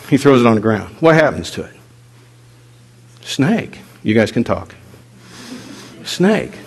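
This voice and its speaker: Amid noticeable background noise and audible room echo, a man at a medium pitch speaks at a fairly slow pace, with very wide pitch swings, big swings in loudness and long, frequent pauses. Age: 50s. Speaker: pastor. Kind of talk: sermon. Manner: animated.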